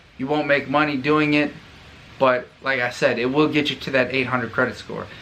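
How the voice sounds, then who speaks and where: A man with an American accent, medium pitch, monotone, flat intonation and a fairly quick pace, over noticeable background noise. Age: 20s. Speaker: YouTuber, Marine. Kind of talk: tutorial. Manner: casual, conversational.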